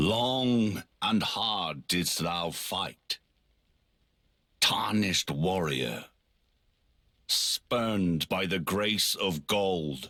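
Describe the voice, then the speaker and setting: A put-on character voice at a very slow pace, broken by long, frequent pauses. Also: man, very deep, low pitch for a man, lively intonation. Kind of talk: archaic epic speech. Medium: video game. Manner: grave, commanding.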